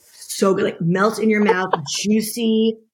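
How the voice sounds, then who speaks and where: A woman's somewhat breathy, fairly high voice with an American accent, fairly even intonation and a very slow pace. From United States. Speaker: podcast co-host. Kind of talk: casual chat.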